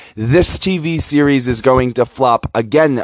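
At a fairly slow pace, a man of medium pitch speaks with ordinary pitch variation in a dry, close sound with no echo. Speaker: podcast host giving opinion on TV. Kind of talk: angry rant, profanity-laden tirade. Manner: heated, indignant, insulting, directly addressing target; emphatic, repetitive, stumbling over words.

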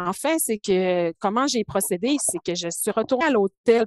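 Lively intonation and a fairly slow pace come through in a dry, close recording with no echo and a quiet background. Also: woman. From Quebec, Saguenay–Lac-Saint-Jean (Alma). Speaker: biochemist and project leader. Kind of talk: interview. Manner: calm.

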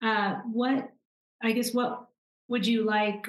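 A woman speaks in a somewhat breathy voice. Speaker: podcast interviewer. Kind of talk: interview questions.

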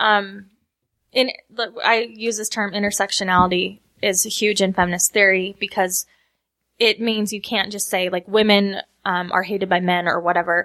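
This woman has a Utah accent and a bright, sharp tone. Her intonation is monotone and flat on a very clean recording with a silent background. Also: medium pitch for a woman, moderate pace. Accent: Utah American. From Utah, West Valley. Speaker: panelist, feminist commentator. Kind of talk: panel discussion. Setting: studio with live audience.

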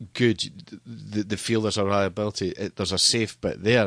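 Against a quiet background, a man with a Scottish accent speaks in a fairly low pitch with a bright, sharp tone, the sound dry and close with no echo. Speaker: stadium PA announcer and entertainment business owner. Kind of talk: casual interview. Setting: studio.

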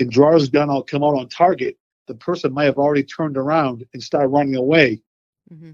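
Speaking with an American accent, a man with an ordinary speaking voice and fairly high pitch talks at a fairly quick pace. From Boston, Massachusetts. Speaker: use-of-force consultant, retired police. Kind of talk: interview conversation.

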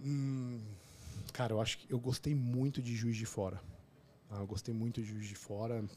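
At a moderate pace with long, frequent pauses, a man speaks at a medium pitch in a dark, mellow tone with fairly even intonation. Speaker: obstetrician and podcaster. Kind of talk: casual interview chat.

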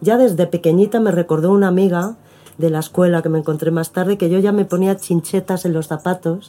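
Speaking with a Madrid accent at a fairly quick pace, a woman uses a fairly low, dark and mellow voice with fairly even intonation. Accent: Spanish (Madrid), noticeable. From Spain, Madrid. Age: 50s. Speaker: performing artist. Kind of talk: interview. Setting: at the host's home.

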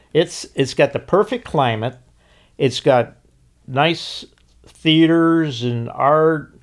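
Speaking very slowly with long, frequent pauses, a man with an American accent uses a fairly high pitch and ordinary pitch variation, captured in a very clean recording with a silent background. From Chicago, US Midwest. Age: 80s+. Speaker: restaurant owner. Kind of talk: interview. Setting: studio.

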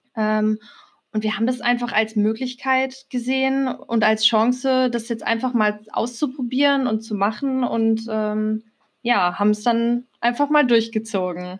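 A woman speaks at a fairly slow pace in a fairly high pitch, her intonation fairly even, on a very clean recording with a silent background. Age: 20s. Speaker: podcast co-host, macramé artist. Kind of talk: casual chat.

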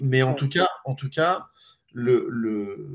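Very slow delivery with ordinary pitch variation. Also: man. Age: 40s. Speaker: startup co-founder. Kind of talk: live stream interview.

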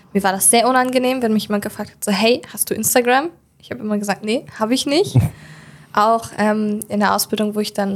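Talking very fast, a woman at a fairly high pitch shows ordinary pitch variation and big swings in loudness. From Germany, Hildesheim (Lower Saxony). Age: 20s. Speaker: make-up artist. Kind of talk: interview.

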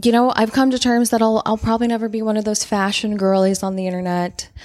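The recording is very clean and the background silent. On it, a woman talks. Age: 30s. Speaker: podcast host. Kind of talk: casual solo advice talk. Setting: at a desk, recording at home. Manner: animated.

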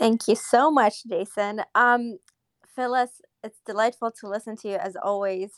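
Woman with a normal speaking voice, fairly high pitch and fairly slow pace, big swings in loudness, in a dry, close sound with no echo. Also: ordinary pitch variation. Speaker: audience participant. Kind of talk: live audio room chat. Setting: live online audio room.

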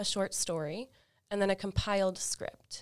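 A woman with an American accent and a normal speaking voice talks at a medium pitch and fairly slow pace with fairly even intonation, on a very clean recording with a silent background. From US South, Florida Panhandle. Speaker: doctoral student. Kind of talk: interview.

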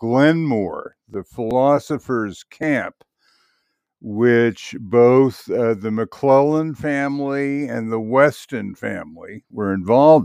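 Over a quiet background, speech with an American accent moves very slowly with normal pitch variation and a dry, close sound free of echo. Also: man. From Bedford, New York. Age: 70s. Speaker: community member telling story. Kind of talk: personal story monologue.

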